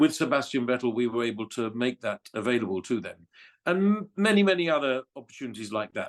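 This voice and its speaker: With an English accent, a man talks at a very fast pace. His pitch makes very wide swings. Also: quiet background. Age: 60s. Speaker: former F1 communications director. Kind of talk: interview. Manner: halting.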